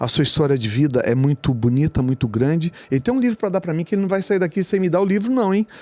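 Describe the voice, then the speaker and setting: A man talks at a very fast pace with hardly any pauses, his pitch high and swinging very wide. The recording is dry and close, with no echo. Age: 60s. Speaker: podcast host. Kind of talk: interview.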